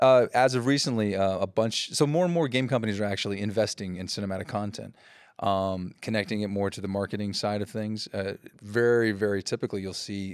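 A man with an ordinary speaking voice talks at a fairly quick pace, fairly low in pitch and with fairly even intonation. The recording is very clean, with a silent background. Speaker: cinematics director. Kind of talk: casual interview conversation.

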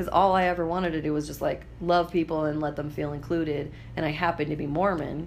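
Very fast, flat, monotone speech with vocal fry and an American accent, in audible room echo. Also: woman, very deep, low pitch for a woman. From Idaho, US. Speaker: podcast host, comedian and entrepreneur. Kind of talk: casual chat.

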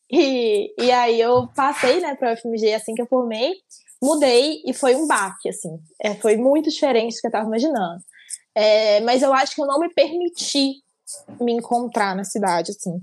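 A woman with a high pitch talks at a moderate pace with lively intonation. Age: 20s. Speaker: podcast co-host, psychology student. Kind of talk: casual chat.

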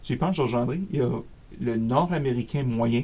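Speaking in an Acadian accent, a man uses a medium pitch with ordinary pitch variation. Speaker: career coach. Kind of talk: interview.

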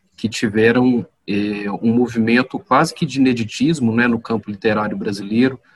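At a fairly slow pace, a man talks in an ordinary speaking voice, his medium pitch held to fairly even intonation. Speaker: podcast host. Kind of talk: interview. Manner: formal.

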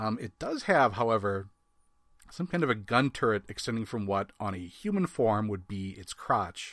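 A man with a Wisconsin accent talks at a fairly quick pace in a fairly low voice. The recording is very clean, with a silent background. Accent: Upper Midwest American (Wisconsin). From US Midwest. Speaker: comics podcast co-host. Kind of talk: casual chat.

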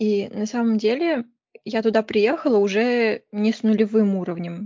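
A woman with a plain, everyday voice, fairly high pitch and ordinary pitch variation. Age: 20s. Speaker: university student studying Korean. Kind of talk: casual interview chat.

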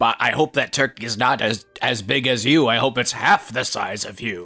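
Putting on a character voice, a man at medium pitch speaks at a moderate pace over faint background music. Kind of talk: comic overacting. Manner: grumpy, dismissive.

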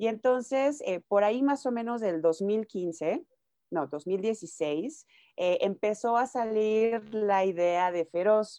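A woman's dark, mellow voice with a Mexican accent, fairly high in pitch with lively intonation, at a very slow pace, dry and close with no echo, against a quiet background. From Mexico, Nayarit. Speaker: music manager and publicist. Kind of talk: interview.

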